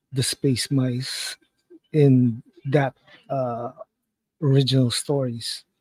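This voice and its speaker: Speaking at a very slow pace, a man sounds somewhat breathy. The sound is dry with no echo, and the background is quiet. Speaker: live stream watch-along host. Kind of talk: casual commentary. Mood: amused, relaxed. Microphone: headset.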